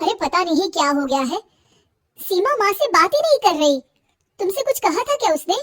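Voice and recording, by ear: In a cartoonish character voice, a woman squeaks at an extremely high pitch with very wide pitch swings, the sound dry and close with no echo. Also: fairly quick pace.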